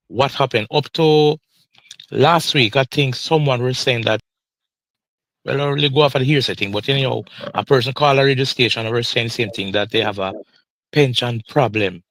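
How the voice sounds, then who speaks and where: With a Jamaican accent, the speaker goes at a fairly quick pace but with long, frequent pauses, using ordinary pitch variation in a dry, close sound with no echo. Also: man, medium pitch for a man. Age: 60s. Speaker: retired pension claimant. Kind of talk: live podcast interview.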